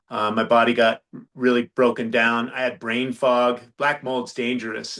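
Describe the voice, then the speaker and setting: In a normal speaking voice, the words come at a moderate speed. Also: man. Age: 60s. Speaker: health and longevity coach. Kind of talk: podcast interview.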